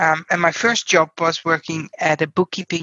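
A woman with a Dutch accent talks at a moderate pace in a very deep, low voice. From Netherlands. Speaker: payroll executive. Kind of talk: interview. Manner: direct.

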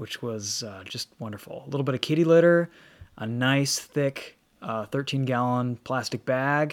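This man has a normal speaking voice with an American accent, medium pitch, ordinary pitch variation, big swings in loudness and a moderate pace. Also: dry, close sound with no echo. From Michigan. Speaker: automotive YouTuber and car reviewer. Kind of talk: casual chat.

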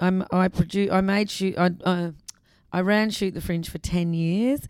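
A woman with an Australian accent speaks in a monotone, flat intonation. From South Australia, Adelaide. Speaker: arts festival director. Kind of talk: interview conversation. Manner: hesitant with fillers.

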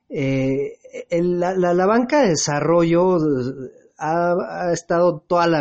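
Someone with a Mexican accent talks at a very slow pace, with ordinary pitch variation. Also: man. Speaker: radio host. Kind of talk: interview. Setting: at home.

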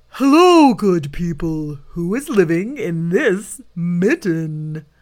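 A female-sounding, put-on character voice, fairly low in pitch and very slow. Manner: bellowing.

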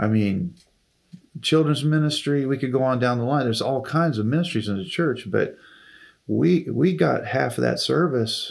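In a very clean recording with a silent background, a man with an unremarkable speaking voice talks at medium pitch and a moderate pace with lively intonation. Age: 60s. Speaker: retired music minister. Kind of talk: casual interview.

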